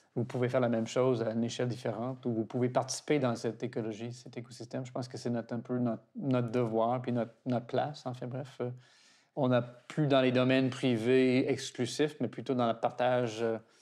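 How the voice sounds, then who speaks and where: A man with an English accent, medium-pitched, dark and mellow in tone, flat and monotone, at a fairly quick pace against a quiet background. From Toronto, Canada. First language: English (speaking French). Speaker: garden director, founder's grandson. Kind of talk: interview. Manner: halting.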